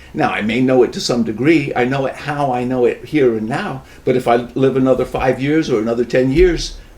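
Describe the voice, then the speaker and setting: Over noticeable background noise, a man with an American accent talks at a fairly quick pace with hardly any pauses, a medium pitch and ordinary pitch variation. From US Northeast, New York metro area. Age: 70s. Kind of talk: casual chat.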